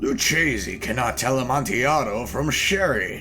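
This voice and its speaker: Over clear music in the background, a man at medium pitch performs a put-on character voice. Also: moderate pace. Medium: read story. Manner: excitable, boastful.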